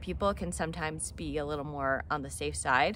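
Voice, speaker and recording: A woman talks with vocal fry in a dry recording without echo. Light background noise sits underneath. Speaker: hiking vlogger. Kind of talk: casual vlog chat. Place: garden. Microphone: phone near.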